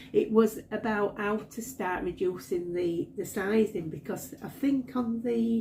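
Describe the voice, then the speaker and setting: A woman with a Yorkshire accent speaks fairly slowly with hardly any pauses, somewhat breathy and dark, mellow in tone, with ordinary pitch variation. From Yorkshire, northern England. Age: 60s. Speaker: crochet vlogger. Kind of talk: casual vlog talk. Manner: halting, many fillers and repeats.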